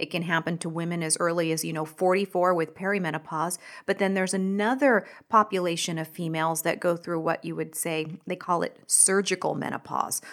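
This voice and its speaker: A woman's fairly low, fairly even voice at a fairly quick pace, an unremarkable speaking voice. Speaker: physician specializing in hormone therapy. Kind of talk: medical podcast discussion.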